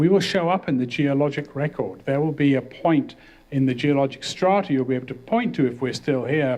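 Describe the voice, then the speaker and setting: A man speaks at a fairly quick pace in a plain, everyday voice, with medium pitch and ordinary pitch variation. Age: 60s. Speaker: professor. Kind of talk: lecture.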